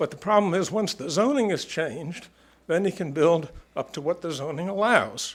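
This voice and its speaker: With lively intonation and a moderate pace, a man speaks in a high pitch. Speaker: resident speaking at zoning hearing. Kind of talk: public comment at meeting.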